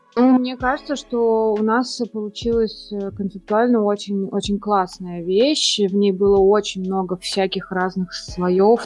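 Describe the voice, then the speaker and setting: Very slowly and with fairly even intonation, a woman speaks at a medium pitch amid noticeable background noise. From Russia, Saint Petersburg. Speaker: architect, firm founder. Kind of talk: casual interview.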